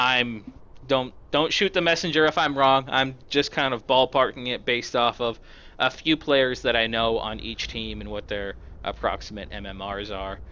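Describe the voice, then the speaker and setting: An ordinary speaking voice from a man at medium pitch, with ordinary pitch variation and big swings in loudness. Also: moderate pace. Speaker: esports caster. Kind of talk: live commentary. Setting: live stream.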